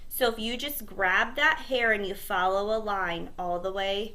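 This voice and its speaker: There is audible room echo around a woman's medium-pitched voice, which has a bright, sharp tone and a fairly slow pace. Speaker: cosmetology teacher. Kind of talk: tutorial.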